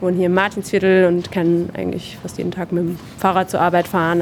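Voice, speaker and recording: Over noticeable background noise, a woman with a fairly low pitch speaks very fast in a monotone, flat way. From southern Hesse, Germany. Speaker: apprenticeship marketing staff. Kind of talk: interview. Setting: on-site at company open evening.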